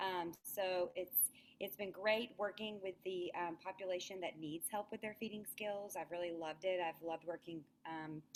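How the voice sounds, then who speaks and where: A woman's medium-pitched voice with a Southern US accent, fairly even intonation and a moderate pace. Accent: Southern US twang. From US South, Alabama. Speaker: speech language pathologist. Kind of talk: webinar presentation.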